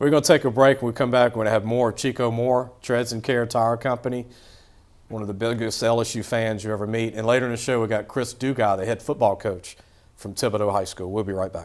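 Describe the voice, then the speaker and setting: A man with a Louisiana accent rattles along at a very fast pace, his medium-pitched voice holding a fairly even intonation. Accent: Louisiana Southern US. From Louisiana, Baton Rouge area. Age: 50s. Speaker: sports podcast host. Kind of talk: casual interview chat.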